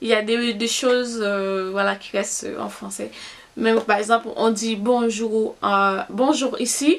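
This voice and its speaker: With a Haitian accent, a woman speaks at a fairly high pitch with ordinary pitch variation. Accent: Haitian Creole accent in French. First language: Haitian Creole (speaking French). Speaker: beauty vlogger. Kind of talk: casual vlog talk. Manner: halting, many fillers.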